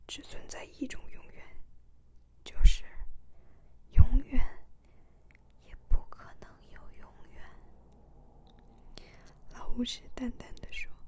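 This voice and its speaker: Whispering at a very slow pace with long, frequent pauses, the voice keeps a calm tone. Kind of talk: ASMR book reading, soft-spoken. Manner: soft, calm, slow reading.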